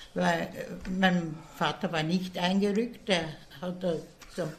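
A woman with a fairly low pitch and ordinary pitch variation, at a very slow pace. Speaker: retirement home resident. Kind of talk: interview.

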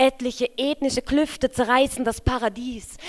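A woman's high-pitched voice at a fairly slow pace. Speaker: poet and slam host. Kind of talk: poetry slam performance, rhythmic spoken word with wordplay and rhymes. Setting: stage with audience, live reading.

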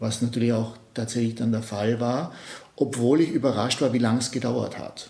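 A man's voice comes through somewhat breathy, with a dark, mellow tone. His intonation stays fairly even. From Austria, Innsbruck. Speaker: multimedia artist. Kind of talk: interview. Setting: artist's studio. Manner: halting, many repetitions and fillers.

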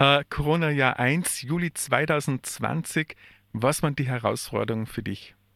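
A man speaks at a fairly slow pace with a fairly high pitch and ordinary pitch variation. His tone is bright and sharp. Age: 50s. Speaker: radio host and social worker. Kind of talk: radio interview. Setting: radio studio. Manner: halting.

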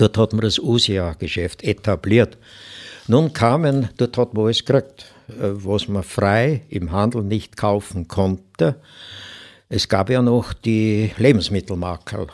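On a very clean recording with a silent background, a man speaks at a very slow pace in a fairly low pitch with ordinary pitch variation. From Upper Austria, Mühlviertel (Hirschbach). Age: 80s+. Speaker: elderly eyewitness recounting childhood. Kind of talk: interview storytelling. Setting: studio.

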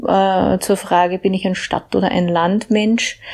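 Somewhat breathy and medium in pitch, a woman speaks at a very slow pace with fairly even intonation. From Upper Austria, Mühlviertel (Hagenberg). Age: 40s. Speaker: EU policy researcher. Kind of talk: personal account.

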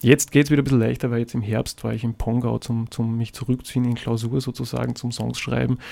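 With a dark, mellow tone, the speaker races along at a very fast pace, flat and monotone, with hardly any pauses. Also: man, medium pitch for a man. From Austria, Salzburg city. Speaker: singer-songwriter. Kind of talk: radio interview. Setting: radio studio. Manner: halting, many fillers and repetitions.

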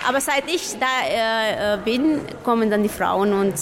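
Noticeable background noise and audible room echo fill the recording. The speaker is a woman. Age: young. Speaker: social worker. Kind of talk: interview. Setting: outdoor festival.

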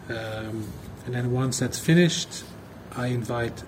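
Noticeable background noise surrounds a man at a medium pitch. His pace is moderate and his intonation fairly even. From Belgium. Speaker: artist. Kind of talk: recorded audio message.

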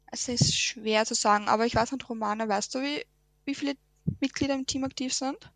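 A woman with a Lower Austrian accent talks at a fairly quick pace with ordinary pitch variation. The sound is dry and close, with no echo. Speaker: environmental volunteer. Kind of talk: radio interview. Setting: radio studio.

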